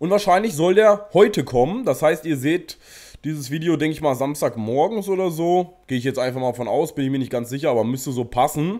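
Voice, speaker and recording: A man's fairly high voice has a dark, mellow tone and moves at a fairly quick pace. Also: lively intonation. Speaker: gaming YouTuber. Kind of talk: casual gameplay commentary. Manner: casual, chatty.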